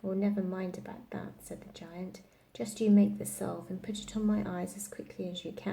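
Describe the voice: The text is read aloud plainly, its intonation fairly even.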